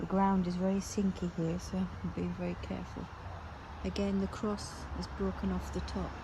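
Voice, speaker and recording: A soft-spoken woman at a moderate pace, with audible room echo. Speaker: graveyard vlogger. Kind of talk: walking vlog narration. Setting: outdoors in a cemetery.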